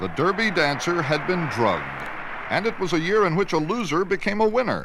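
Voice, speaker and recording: A man speaks at a high pitch with ordinary pitch variation. Noticeable background noise runs through the clip. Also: fairly quick pace. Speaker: news journalist narrator. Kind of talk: documentary news narration.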